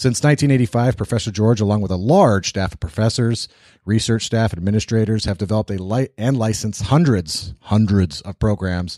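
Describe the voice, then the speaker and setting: Recorded very cleanly against a silent background with a dry, close sound and no echo, a man speaks at a fairly low pitch and fairly quick pace with ordinary pitch variation. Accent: American. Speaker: podcast host and real estate investor. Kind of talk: casual interview. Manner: animated.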